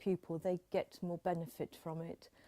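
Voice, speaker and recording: A woman with a slight Dorset accent and a fairly low pitch, a dark, mellow tone, a fairly slow pace and a dry, close sound with no echo. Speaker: elocution teacher, voice confidence coach. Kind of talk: interview.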